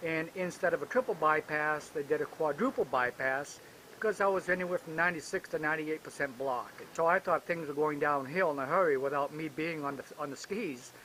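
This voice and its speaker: Noticeable background noise sits behind a man talking at a fairly quick pace. His voice is fairly high, with ordinary pitch variation. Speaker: retired senior skier. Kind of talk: interview testimony.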